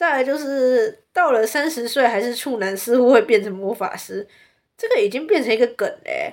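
With a Taiwanese accent, a woman speaks at a moderate pace in an animated tone, her high voice full of lively intonation. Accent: Taiwanese Mandarin. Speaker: podcast host. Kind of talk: casual monologue.

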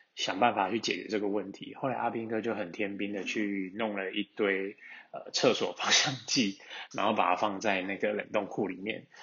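Fairly low in pitch, the man delivers his words in a monotone, flat way at a moderate speed. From Taiwan, Taichung. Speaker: listener sending a voice message. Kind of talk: recorded voice message, storytelling.

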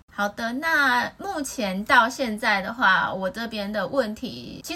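Speaking at a fairly high pitch, a woman shows ordinary pitch variation. Noticeable background noise is present. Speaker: podcast host. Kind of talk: casual chat.

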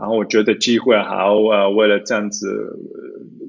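A man is speaking. His pace is fairly slow. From Zurich, Switzerland. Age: 30s. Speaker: lawyer. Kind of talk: interview. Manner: halting, many fillers.

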